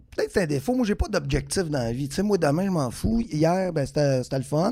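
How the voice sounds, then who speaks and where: A man with a dark, mellow tone at a fairly quick pace. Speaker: comedian. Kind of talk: casual chat.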